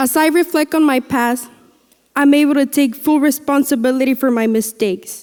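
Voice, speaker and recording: A woman speaks at a moderate pace with a high pitch, fairly even intonation, and very even loudness. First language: Spanish. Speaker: graduating student speaker. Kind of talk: commencement speech. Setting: graduation ceremony with audience.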